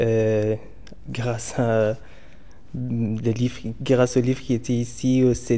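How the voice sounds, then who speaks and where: This man's medium-pitched voice stays monotone, with flat intonation throughout. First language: not French (speaking French). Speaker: library user. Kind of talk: vox pop interview. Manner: halting.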